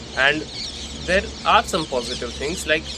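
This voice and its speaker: A speaker with an Indian accent is heard over noticeable background noise. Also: man. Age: young. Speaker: content creator. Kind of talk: personal reflection monologue. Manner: casual, conversational.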